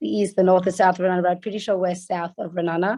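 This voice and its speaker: A woman with an Australian accent speaks in a dark, mellow tone with fairly even intonation. The sound is dry and close with no echo against a quiet background. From Australia (Sydney). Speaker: resident describing her community. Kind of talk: video call discussion. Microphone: phone.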